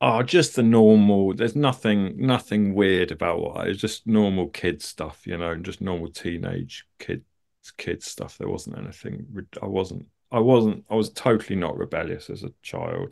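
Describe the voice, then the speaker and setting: Against a quiet background, a man with a southern English accent speaks at a moderate pace. His pitch is fairly low and his intonation lively. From London suburbs, England. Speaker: artist and comedian. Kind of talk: casual interview. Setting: video call.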